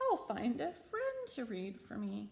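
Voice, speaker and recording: Using a put-on character voice, a woman talks fairly slowly. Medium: read story. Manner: polite, earnest.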